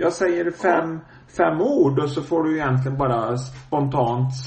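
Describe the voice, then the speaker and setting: A man with a fairly high pitch and ordinary pitch variation speaks at a moderate pace, with noticeable background noise present. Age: 50s. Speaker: podcast host. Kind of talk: casual interview. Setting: phone call.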